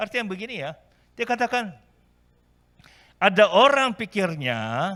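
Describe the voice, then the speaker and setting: A raised, projected voice with a bright, sharp tone and a non-native accent moves at a fairly slow pace. The recording is very clean, with a silent background. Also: man. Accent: non-native Indonesian. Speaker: pastor. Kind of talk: sermon. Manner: halting.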